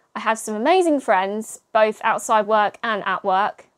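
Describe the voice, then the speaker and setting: Speaking with an English accent, a woman talks at a moderate pace and a medium pitch. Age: 20s. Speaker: podcast host. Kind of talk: solo casual monologue.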